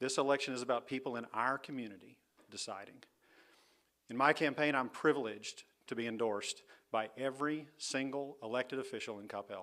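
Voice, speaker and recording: A man with a Texan accent, a medium pitch and a bright, sharp tone talks at a fairly quick pace with big swings in loudness. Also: fairly even intonation. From Texas. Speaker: political candidate. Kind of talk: campaign speech.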